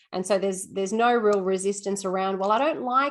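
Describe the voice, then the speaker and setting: This woman has an Australian accent and a medium pitch. She talks at a fairly quick pace with ordinary pitch variation. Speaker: school assistant principal and teacher. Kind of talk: webinar Q&A answer. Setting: video call webinar. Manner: fast.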